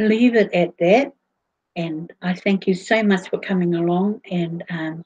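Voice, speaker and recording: A somewhat breathy woman with a fairly low pitch talks at a fairly slow pace. Her intonation is fairly even, and the sound is dry and close, with no echo. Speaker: livestream host. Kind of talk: casual livestream chat. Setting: online video broadcast. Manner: halting, many fillers.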